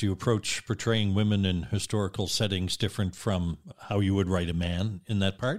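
An unremarkable speaking voice from a man, fairly low in pitch and moderate in pace, on a very clean recording with a silent background. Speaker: radio host. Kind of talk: interview.

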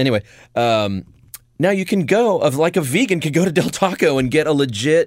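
Speaking at a fairly quick pace with very even loudness, a man's fairly high voice makes very wide pitch swings in a very clean recording with a silent background. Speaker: podcast host. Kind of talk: casual comedic banter. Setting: studio.

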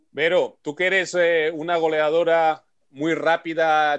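A man speaks in a fairly high voice against a quiet background. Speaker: radio host and olympic bobsleigh pilot. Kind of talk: radio show hosting. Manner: animated.

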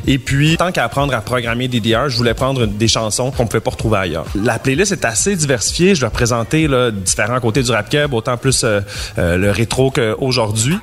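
Lively intonation moves along at a moderate pace over noticeable background noise. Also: man. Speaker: game event organizer. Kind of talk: interview.

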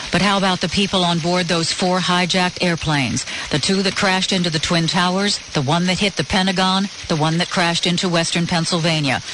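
The speech runs at a fairly quick pace with noticeable background noise behind it. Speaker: radio news anchor. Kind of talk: radio news reading. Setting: studio.

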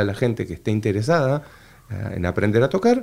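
The speaker moves at a fairly quick pace with very wide pitch swings. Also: man. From Argentina, Entre Ríos (litoral). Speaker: bandoneon player and orchestra director. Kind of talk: casual interview. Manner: halting with repetitions.

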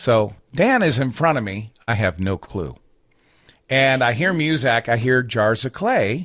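A man speaks at a fairly slow pace in an ordinary speaking voice, medium in pitch, with lively intonation. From US Midwest, northern Michigan. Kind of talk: casual interview chat.

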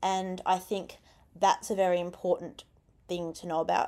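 A woman with an Australian accent at medium pitch and a moderate pace, on a very clean recording with a silent background. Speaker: youth radio host. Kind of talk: radio interview. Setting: radio studio. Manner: animated.

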